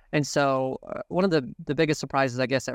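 A man with an American accent speaks at a medium pitch and a fairly quick pace. His intonation is fairly even, and the sound is dry and close with no echo. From Wisconsin (Green Bay). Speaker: pharmacy audit company president. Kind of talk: interview conversation. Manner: hesitant, many fillers and repeats.

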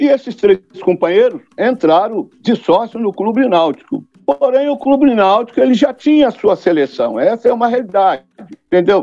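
At a moderate pace, a man talks with an extremely high pitch for a man and very even loudness. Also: lively intonation. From Volta Redonda, Rio de Janeiro state, Brazil. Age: 60s. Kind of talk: podcast interview.

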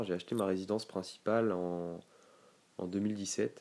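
Speaking at a very slow pace, a man with a very deep, low pitch keeps his intonation fairly even on a very clean recording with a silent background. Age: 20s. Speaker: real estate investor. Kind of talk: casual chat. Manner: halting.

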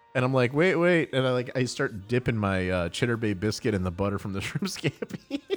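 A man speaks at a medium pitch with lively intonation and hardly any pauses, over noticeable background noise. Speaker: podcast host. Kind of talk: casual banter. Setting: live stream.

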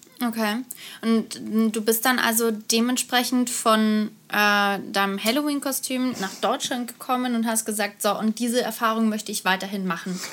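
An unremarkable speaking voice comes through at a moderate pace with fairly even intonation in a very clean recording with a silent background. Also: woman, fairly high pitch for a woman. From Karlsruhe, southwest Germany. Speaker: podcast co-host. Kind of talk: casual chat.

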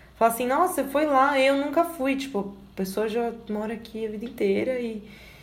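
A woman's voice comes with audible room echo. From Brazil, São Paulo. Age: 20s. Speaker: journalist and video editor. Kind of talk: casual interview chat.

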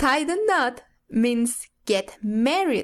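A woman talks at a very slow pace with a high pitch. Her intonation is lively, and the background is quiet. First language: Spanish. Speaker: English learner. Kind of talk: language lesson role-play.

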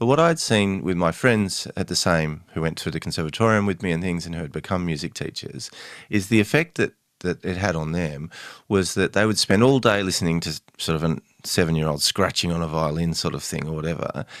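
On a very clean recording with a silent background, a man with a very deep, low voice talks at a fairly quick pace with ordinary pitch variation. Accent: Australian. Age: 40s. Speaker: novelist and family mediator. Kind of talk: interview.

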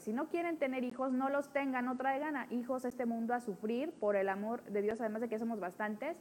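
A woman speaks very fast and high-pitched, with ordinary pitch variation and hardly any pauses. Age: 30s. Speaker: podcast host. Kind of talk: casual chat.

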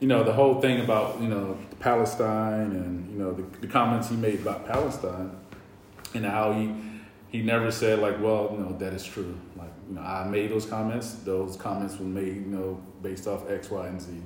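A man with a Southern US accent, fairly low-pitched, at a moderate pace with fairly even intonation, plus noticeable background noise and audible room echo. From US South, North Carolina. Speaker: podcast co-host. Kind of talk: casual chat. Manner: halting.

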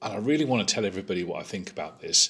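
Speaking very fast with a British accent, a man uses a bright, sharp tone at medium pitch, with very wide pitch swings. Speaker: podcaster reviewing a tabletop game. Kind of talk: casual review podcast.

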